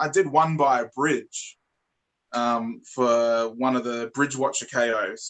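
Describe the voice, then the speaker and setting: A man is the speaker here. His speech carries an Australian accent. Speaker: toy reviewer YouTuber. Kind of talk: casual interview chat. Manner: stutters and repeats words.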